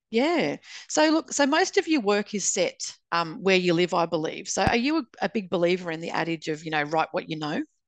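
In a fairly quick delivery with lively intonation, a woman with an Australian accent talks at a medium pitch, the sound dry and close with no echo against a quiet background. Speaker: podcast host and author. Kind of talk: casual interview chat.

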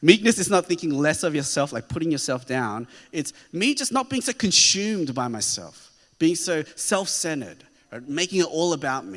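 A man with an Australian accent talks at a moderate pace, his fairly high pitch making very wide swings and his loudness rising and falling sharply. There is vocal fry, and the recording is very clean with a silent background. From Australia (Sydney), child of immigrants. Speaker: pastor. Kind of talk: sermon. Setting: church.

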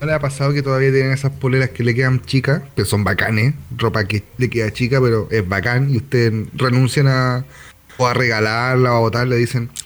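Speaking at a fairly quick pace with a Chilean accent, a man keeps very even loudness and fairly even intonation over noticeable background noise. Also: medium pitch for a man. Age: 30s. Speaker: podcast co-host. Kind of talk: casual chat.

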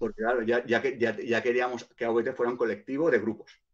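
This is a man speaking at a medium pitch. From Barcelona, Spain. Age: 40s. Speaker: hip hop artist and producer. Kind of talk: casual interview. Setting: live online stream.

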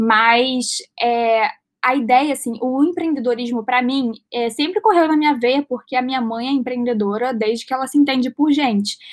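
Talking in a Carioca accent at a moderate pace, a woman uses a high pitch with ordinary pitch variation. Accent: carioca Brazilian Portuguese. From Rio de Janeiro, Brazil. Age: 20s. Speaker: actress and entrepreneur. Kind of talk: casual interview.

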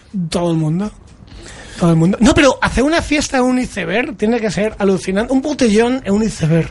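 Noticeable background noise sits behind this man's voice. He speaks at a fairly quick pace in a high pitch with lively intonation. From Madrid, Spain. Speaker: radio host. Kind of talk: casual chat. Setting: studio.

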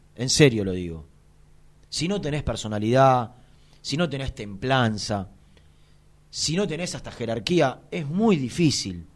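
A man's animated, medium-pitched voice in a Rioplatense accent, fairly slow with long, frequent pauses and very wide pitch swings. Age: 40s. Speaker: sports radio host. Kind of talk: casual chat.

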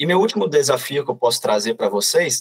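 A man with a somewhat breathy voice talks at a fairly quick pace, his pitch varying in an ordinary way. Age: 20s. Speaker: corporate trainee. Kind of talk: podcast interview.

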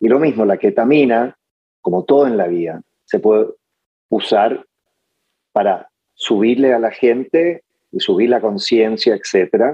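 A man speaks at a medium pitch with lively intonation. He leaves long, frequent pauses. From Chile. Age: 50s. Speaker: lawyer and entrepreneur. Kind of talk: interview conversation. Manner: halting, many fillers.

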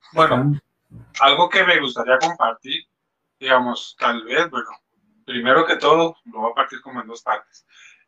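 A man speaks at a moderate pace with a medium pitch and ordinary pitch variation, in an ordinary speaking voice. His loudness swings widely. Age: 30s. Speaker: father. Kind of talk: casual chat.

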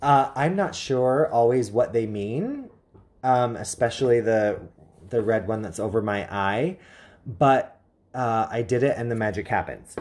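A plain, everyday voice from a man, medium in pitch, fairly slow, with ordinary pitch variation. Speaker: psychic medium and rune reader. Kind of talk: casual chat.

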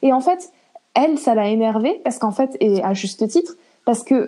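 The speaker is a woman. Her intonation is lively. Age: 20s. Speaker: interview guest sharing eating disorder experience. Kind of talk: casual interview. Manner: halting.

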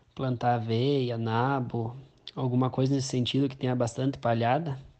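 Speaking at medium pitch, a man talks at a fairly slow pace. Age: 20s. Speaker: farmer. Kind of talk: interview answers.

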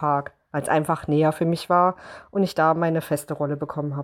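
This woman talks at a fairly quick pace. The recording is very clean, with a silent background. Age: 30s. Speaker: bride-to-be, theme park horror actor. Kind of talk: casual chat.

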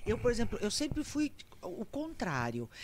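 This woman's voice sits at a fairly high pitch with some vocal fry. She speaks at a moderate pace. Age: 60s. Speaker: comedian and actress. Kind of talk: casual chat. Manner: animated.

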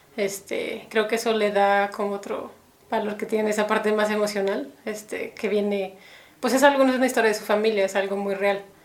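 With audible room echo, a woman talks at a fairly quick pace in a fairly high, monotone, flat voice. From Mexico City. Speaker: animator. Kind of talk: casual interview.

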